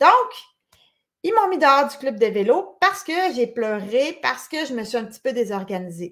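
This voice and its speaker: A woman's high-pitched voice at a moderate pace, with very wide pitch swings and big swings in loudness. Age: 40s. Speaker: conference speaker. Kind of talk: lecture.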